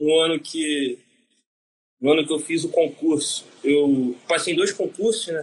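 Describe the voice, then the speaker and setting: In a normal speaking voice, the speaker goes at a fairly slow pace with fairly even intonation. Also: man, fairly high pitch for a man. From Brazil, Rio de Janeiro. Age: 20s. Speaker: navy corporal. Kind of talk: interview answers.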